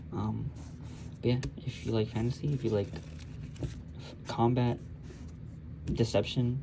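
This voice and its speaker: Soft-spoken and somewhat breathy, a man talks at a fairly slow pace with long, frequent pauses. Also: medium pitch for a man, ordinary pitch variation. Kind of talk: casual book review talk to camera.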